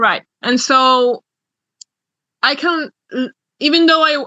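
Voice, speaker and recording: A woman's bright, sharp, raised and projected voice in a Spanish accent, with ordinary pitch variation, dry and close with no echo, over a quiet background. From Argentina. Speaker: exchange program participant. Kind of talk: Q&A in an online orientation. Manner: halting.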